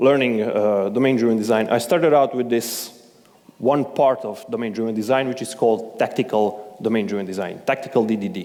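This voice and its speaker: A man with a non-native accent speaks at a fairly quick pace against audible room echo. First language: not English. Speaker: conference speaker. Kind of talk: conference talk. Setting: stage with audience.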